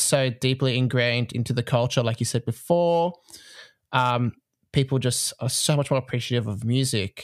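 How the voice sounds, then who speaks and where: Heard in a dry, close recording with no echo, a man with an Australian accent speaks at a moderate pace and medium pitch with ordinary pitch variation. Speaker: podcast host, music teacher and conductor. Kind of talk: casual interview chat. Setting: remote call.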